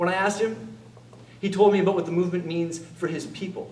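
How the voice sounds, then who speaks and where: A man's high-pitched voice at a very fast pace, with audible room echo. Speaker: theatre performer. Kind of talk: stage monologue. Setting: stage with audience.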